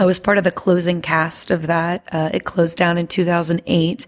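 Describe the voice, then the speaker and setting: A woman with an American accent talks at a fairly quick pace and fairly low pitch. The sound is dry and close with no echo, with noticeable background noise. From US South, Louisiana. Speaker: singer and performer. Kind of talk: casual chat.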